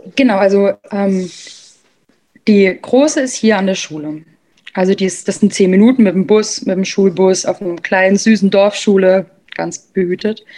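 Her voice sits at a medium pitch with a dark, mellow tone. This woman leaves long, frequent pauses. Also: ordinary pitch variation, moderate pace. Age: 20s. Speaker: stepmother sharing her experience. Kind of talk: interview conversation.

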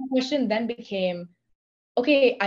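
Woman with an animated tone at a moderate pace. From India. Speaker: podcaster and workshop host. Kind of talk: casual interview chat. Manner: animated, excitable.

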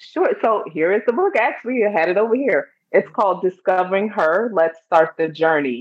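In a Chicago accent, a woman speaks at a moderate pace and medium pitch with lively intonation, very even loudness and hardly any pauses. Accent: Chicago American English. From US Midwest, Chicago. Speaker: stress and anxiety coach, author. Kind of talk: interview.

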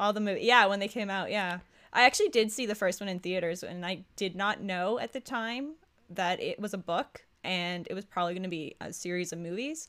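A woman with a Canadian accent talks at a fairly quick pace in a normal speaking voice, at medium pitch with ordinary pitch variation. The recording is very clean, with a silent background. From Ontario, Canada. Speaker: podcast co-host. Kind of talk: casual chat; scripted narration.

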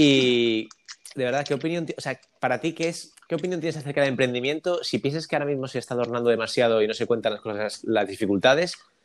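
Ordinary pitch variation comes with a Spanish accent. The pace is very fast. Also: man, medium pitch for a man. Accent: Spanish (Spain). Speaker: podcast host. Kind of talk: casual interview.

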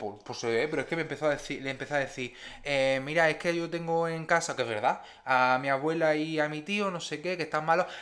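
A man speaks fairly quickly, pitch shifting in an ordinary way. His is an unremarkable speaking voice, fairly high in pitch. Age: 20s. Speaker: podcast co-host. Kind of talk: casual chat.

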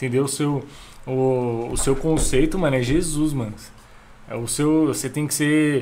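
With audible room echo around him, a man speaks at a fairly high pitch. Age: 20s. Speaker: church member, musician. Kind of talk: casual chat.

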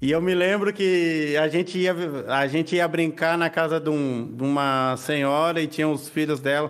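A man with an ordinary speaking voice and fairly high pitch talks at a moderate pace. His intonation is fairly even and his loudness very even. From Argentina. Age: 30s. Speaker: writer. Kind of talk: casual interview chat.

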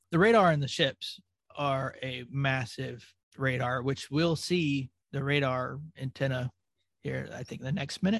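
Here a man speaks in a plain, everyday voice, fairly high in pitch with ordinary pitch variation. The pace is fairly slow and the sound is dry and close, with no echo. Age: 40s. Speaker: podcast host, former Navy. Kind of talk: casual chat.

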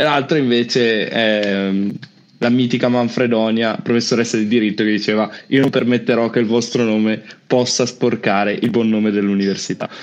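A man talks at a moderate pace and medium pitch in an unremarkable speaking voice. His intonation stays fairly even, and his loudness is very even. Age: 20s. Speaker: youtube channel host. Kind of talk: casual online panel discussion.

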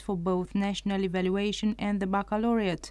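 In a Romanian accent, the voice has a dark, mellow tone and a moderate pace. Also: woman. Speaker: radio presenter. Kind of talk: news report reading. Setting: studio.

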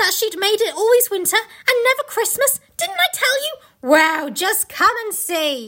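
A woman puts on a character voice, extremely high in pitch, bright and sharp in tone, with big pitch swings. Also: fairly slow pace.

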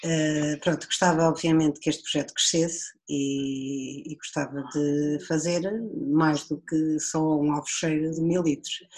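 A woman speaks with a very deep, low pitch at a fairly slow pace. Her intonation is monotone and flat. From Portugal, Viseu district (Dão). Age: 40s. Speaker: winemaker. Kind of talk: casual chat.

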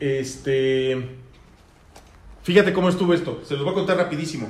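Noticeable background noise and audible room echo fill the recording. Within them, a man talks at a moderate pace. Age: 30s. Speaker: podcast host. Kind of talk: casual chat.

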